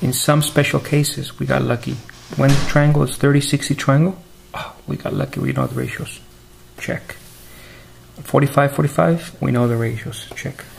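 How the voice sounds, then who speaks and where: The speaker keeps a moderate pace with long, frequent pauses, and noticeable background noise is present. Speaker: math teacher. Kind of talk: lecture. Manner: soft-spoken.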